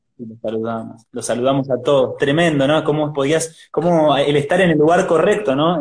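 With a Rioplatense accent, a man speaks at a fairly quick pace. His pitch is fairly high, with ordinary variation. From Argentina. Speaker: church youth interviewer. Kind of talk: live interview. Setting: livestream video call.

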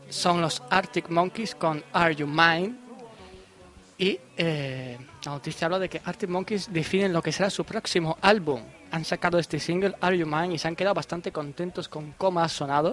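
A man with a high pitch and ordinary pitch variation can be heard against noticeable background noise. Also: moderate pace. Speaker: podcast host. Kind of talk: casual chat. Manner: animated.

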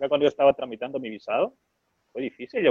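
A man talking at a very fast pace. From Honduras. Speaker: startup co-founder. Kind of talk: interview. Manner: halting, frequent repetitions.

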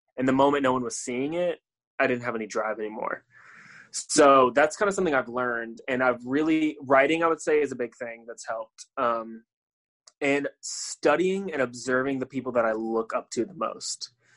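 In an unremarkable speaking voice, a man with an American accent talks at a moderate pace and medium pitch, with ordinary pitch variation and a dry, close sound with no echo. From US, Florida (Tampa). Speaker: musician and creative director. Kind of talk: interview conversation.

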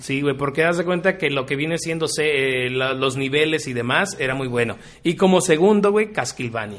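A man with a fairly high pitch talks at a moderate pace with hardly any pauses. He has an unremarkable speaking voice with ordinary pitch variation. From Mexico, Río Verde, San Luis Potosí. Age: 30s. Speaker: podcast co-host. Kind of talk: casual chat.

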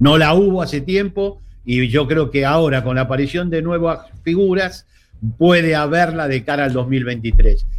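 Talking at a fairly slow pace, a man with an Argentine accent has a fairly high pitch and ordinary pitch variation. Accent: Rioplatense Argentine Spanish. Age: 60s. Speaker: political analyst. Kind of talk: casual interview.

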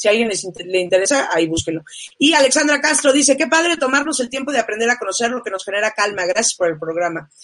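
A woman's fairly high voice with very wide pitch swings at a very fast pace. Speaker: talk show host. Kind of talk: live-streamed talk show. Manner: loud.

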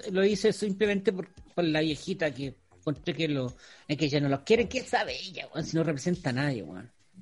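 A man with a Chilean accent speaks at a fairly quick pace, his pitch fairly high. His intonation is lively, and his loudness swings widely. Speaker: podcast co-host. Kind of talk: casual chat.

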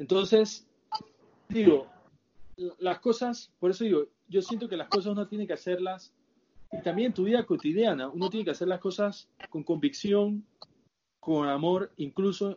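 A man at a moderate pace, with lively intonation. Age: 20s. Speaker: podcast guest. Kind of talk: casual chat.

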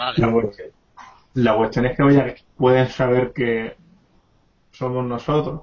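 At a fairly slow pace broken by long, frequent pauses, a man speaks somewhat breathily in a medium pitch with fairly even intonation. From Ceuta. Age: 20s. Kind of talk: role-play game session.

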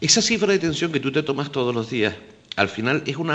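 A man speaks with lively intonation. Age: 50s. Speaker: health insurer manager and doctor. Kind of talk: radio panel discussion.

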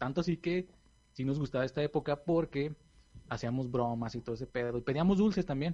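Moving at a fairly quick pace, a man speaks in a dark, mellow tone at a fairly high pitch with ordinary pitch variation. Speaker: podcast host. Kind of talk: casual chat.

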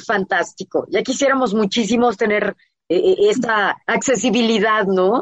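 A plain, everyday voice at very even loudness. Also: woman. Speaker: radio show host. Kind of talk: casual interview chat. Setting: radio broadcast with remote guests.

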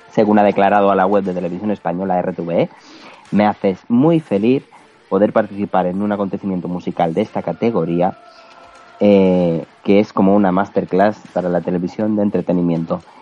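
Amid noticeable background noise, a man talks at a moderate pace. His pitch is fairly low and his intonation fairly even. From Mallorca, Spain. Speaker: podcast co-host. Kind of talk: news reading; casual chat.

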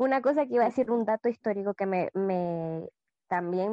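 This woman's voice has a fairly high pitch and ordinary pitch variation. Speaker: podcast co-host. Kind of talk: casual podcast chat.

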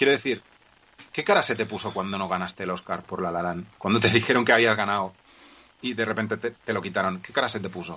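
A man rattles along at a very fast pace in a fairly low voice. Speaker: podcast co-host. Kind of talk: casual chat. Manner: energetic. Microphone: poor audio connection.

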